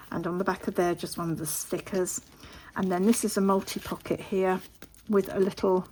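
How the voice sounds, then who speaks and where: A woman's medium-pitched voice in an English accent, fairly quick in pace, with fairly even intonation. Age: 50s. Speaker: papercraft youtuber. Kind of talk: craft show-and-tell. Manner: casual, with filler ums.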